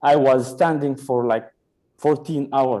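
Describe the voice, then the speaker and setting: Recorded very cleanly against a silent background, a man with a non-native accent speaks fairly slowly in a dark, mellow tone. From Sudan. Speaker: stand-up comedian. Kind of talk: stand-up.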